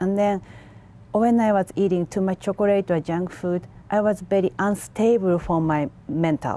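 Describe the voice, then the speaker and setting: A woman with a Japanese accent talks at a fairly slow pace in a dark, mellow tone. Her intonation is fairly even, and the sound is dry with no echo. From Japan, Tokyo. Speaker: macrobiotics instructor; guest. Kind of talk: TV interview; interview answer. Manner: halting. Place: studio.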